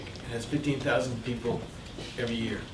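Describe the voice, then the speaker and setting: With audible room echo and noticeable background noise around him, a man speaks at a fairly quick pace. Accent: Canadian. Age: 60s. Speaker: community advocate and economic consultant. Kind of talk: Q&A talk to an audience. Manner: hesitant, with fillers and repetitions.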